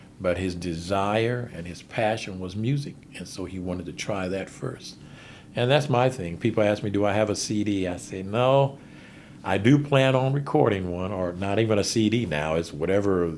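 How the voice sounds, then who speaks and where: A man with an American accent speaks at a moderate pace in a fairly low pitch, with ordinary pitch variation and audible room echo. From Ohio, Springfield. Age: 60s. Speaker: musician. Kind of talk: interview.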